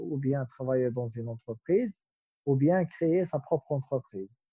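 This man has a medium pitch. His pitch varies in an ordinary way. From Algeria. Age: 20s. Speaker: entrepreneur. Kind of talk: interview. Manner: halting, frequent repetitions.

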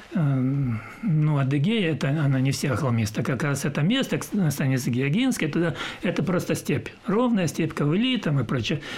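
A man with a fairly high pitch talks at a moderate pace, his pitch swinging very widely over noticeable background noise. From southern Russia, Adygea (Maykop). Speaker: retired sea captain. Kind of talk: interview.

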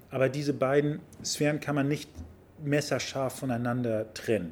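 He has a plain, everyday voice. This man speaks at a medium pitch with ordinary pitch variation. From Hamburg, Germany (Harburg/Wilhelmsburg). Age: 50s. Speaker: member of parliament. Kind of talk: casual interview. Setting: sports club.

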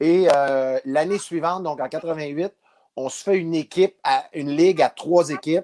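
A man with a plain, everyday voice and fairly high pitch keeps a fairly even intonation, recorded with a dry, close sound and no echo. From Abitibi, Quebec. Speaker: former baseball player. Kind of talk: interview storytelling.

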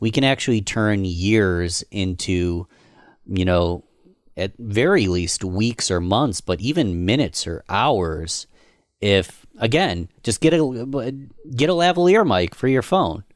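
A man at a fairly slow pace with lively intonation, in a very clean recording with a silent background. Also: fairly low pitch for a man. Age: 30s. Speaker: podcast host and marketer. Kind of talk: casual chat.

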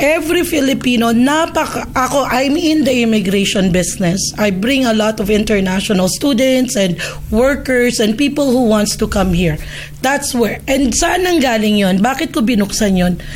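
A woman's fairly high-pitched voice with lively intonation at a moderate pace, plus audible room echo and noticeable background noise. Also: very even loudness. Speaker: immigration consultant. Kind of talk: casual chat.

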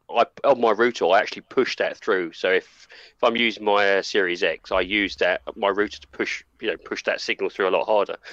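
Speaking at a fairly quick pace with hardly any pauses, a man comes through with a dry, close sound with no echo against a quiet background. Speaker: co-host and game reviewer. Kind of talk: casual group chat.

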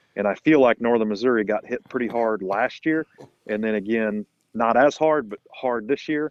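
A man's medium-pitched, plain, everyday voice at a moderate pace with ordinary pitch variation. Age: 40s. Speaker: hunting media guest, cancer researcher. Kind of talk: casual chat.

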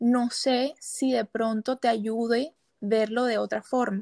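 A woman at a very slow pace, fairly even intonation, dry, close sound with no echo. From Colombia, Barranquilla. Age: 20s. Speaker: psychology student. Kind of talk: casual chat.

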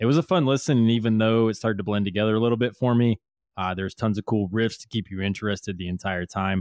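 Talking at a very fast pace, a man with a fairly low pitch uses ordinary pitch variation. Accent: American. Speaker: podcast co-host, news segment. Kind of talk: news reading.

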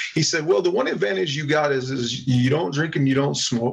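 A man speaks fairly quickly, his pitch fairly high and his intonation lively. Noticeable background noise sits behind him. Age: 40s. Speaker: wrestling promoter. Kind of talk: casual chat.

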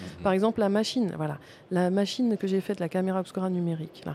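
A woman's normal speaking voice, medium in pitch with ordinary variation, at a fairly quick pace. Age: 50s. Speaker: artist photographer. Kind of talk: interview. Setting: recording at a museum.

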